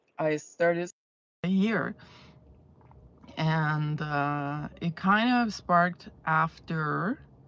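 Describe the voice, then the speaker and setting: In an Azerbaijani accent, a woman speaks at a very slow pace with long, frequent pauses. Her pitch is very deep and low, with ordinary variation. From Iran, Azeri region. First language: Azeri. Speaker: fragrance reviewer. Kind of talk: casual live stream chat. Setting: in a car. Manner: hesitant, many fillers and repetitions.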